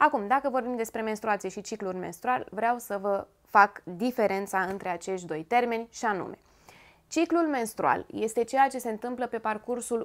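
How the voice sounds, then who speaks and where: Delivery is at a moderate pace over a quiet background. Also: woman, fairly high pitch for a woman, ordinary pitch variation. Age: 30s. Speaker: lifestyle YouTuber. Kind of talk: informative talk to camera. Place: home room.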